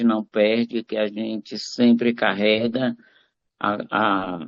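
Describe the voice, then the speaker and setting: A man talks at a very slow pace. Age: 60s. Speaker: clinical psychologist, live participant. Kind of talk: online live group introduction. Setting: video call.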